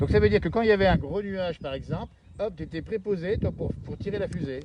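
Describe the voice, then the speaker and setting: A very fast pace with lively intonation. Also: man, high pitch for a man. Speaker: TV presenter. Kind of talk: live TV interview. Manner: upbeat.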